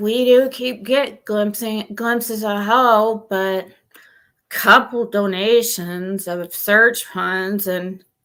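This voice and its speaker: In a put-on character voice, a woman speaks very slowly at a medium pitch with a whiny quality. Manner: gloomy, mournful, whining.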